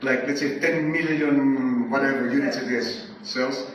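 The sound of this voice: The voice has a fairly bright tone and ordinary pitch variation, heard through strong room echo. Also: man.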